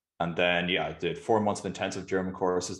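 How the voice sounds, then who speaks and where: In an Irish accent, a man talks at a very fast pace in a very deep, low, monotone voice over a quiet background. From Ireland, Galway. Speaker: startup founder. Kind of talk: interview.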